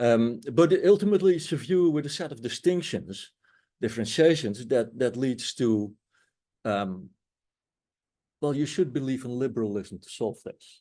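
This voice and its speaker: Dark, mellow tone and lively intonation at a moderate pace, with long, frequent pauses, big swings in loudness and a quiet background. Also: man, medium pitch for a man. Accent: Dutch. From Netherlands. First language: Dutch. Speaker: anthropology professor. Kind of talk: panel discussion. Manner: hesitant, many fillers.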